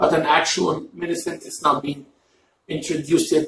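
A man talks at a moderate pace with an Arabic accent. Room echo is audible. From Egypt, Cairo. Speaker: mukbang YouTuber. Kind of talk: casual chat. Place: home room. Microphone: camera far.

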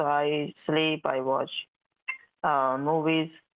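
Very slow and monotone, a woman speaks with a very deep, low pitch and flat intonation. The sound is dry with no echo, over a quiet background. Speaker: phone scammer posing as bank agent. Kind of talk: scripted customer-service talk. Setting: phone call. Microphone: phone line.

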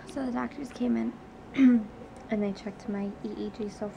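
There is noticeable background noise as this woman's speech unfolds at a fairly slow pace. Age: 20s. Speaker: patient vlogger. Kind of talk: casual video diary talk to camera. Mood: calm, matter-of-fact. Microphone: phone near.

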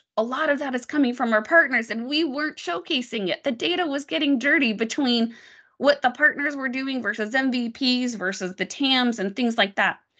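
A woman with a General American accent speaks loudly at a moderate pace, her high-pitched voice bright and sharp in tone. Her pitch varies in an ordinary way, and the background is quiet. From Las Vegas, Nevada. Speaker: tech product marketing manager; guest. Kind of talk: presentation on a video call. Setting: video call. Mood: earnest, reflective. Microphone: video call.

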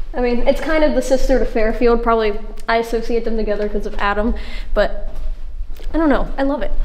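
Using ordinary pitch variation, a woman talks at a fairly quick pace. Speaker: explorer vlogger. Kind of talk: casual vlog chat. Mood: excited, slightly spooked. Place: empty room. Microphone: phone near.

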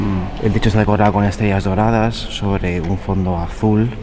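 Noticeable background noise is heard under a man speaking at a fairly low pitch. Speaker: travel vlogger. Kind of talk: casual vlog commentary. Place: church. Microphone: phone near.

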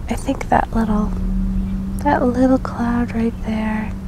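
The speech comes at a fairly slow pace. The sound is dry with no echo, and there is noticeable background noise. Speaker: ASMR video creator. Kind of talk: ASMR roleplay, gentle guided sky-watching. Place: garden. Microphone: handheld.

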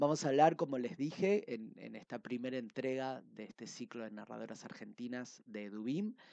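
At a moderate pace, a man with a medium pitch and a dark, mellow tone speaks with lively intonation, the sound dry with no echo over a quiet background. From Argentina. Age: 30s. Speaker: book reviewer. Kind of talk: book review monologue. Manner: hesitant with frequent fillers. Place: home room. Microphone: headset.

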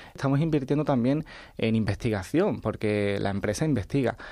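Against a quiet background, a man talks at a moderate pace. His dark, mellow tone shows ordinary pitch variation. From Andalusia, Chiclana (Cádiz); Andalusia. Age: 20s. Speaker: science writer; interview guest. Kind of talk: radio interview. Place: studio.

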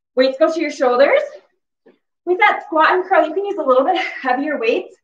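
Audible room echo surrounds this recording. The woman speaking has an extremely high pitch. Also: quiet background. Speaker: fitness instructor. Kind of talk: workout instruction cues. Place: home room. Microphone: camera far.

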